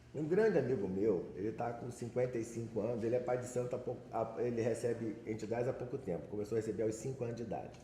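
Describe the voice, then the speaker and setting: At a very fast pace with hardly any pauses, a man of medium pitch speaks with fairly even intonation, with audible room echo and noticeable background noise. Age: 60s. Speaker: Umbanda practitioner, audience member. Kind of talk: audience comment at a panel. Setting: panel with audience.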